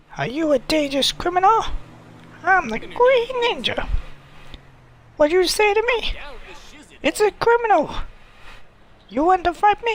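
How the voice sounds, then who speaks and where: The speaker uses a put-on character voice at an extremely high pitch. The pace is moderate, broken by long, frequent pauses. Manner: crazy, challenging.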